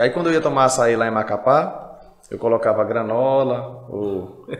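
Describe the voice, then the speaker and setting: Noticeable background noise behind a voice with ordinary pitch variation. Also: man. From Brazil, Pará (Paragominas, Altamira). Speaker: pastor and podcast host. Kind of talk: casual interview chat.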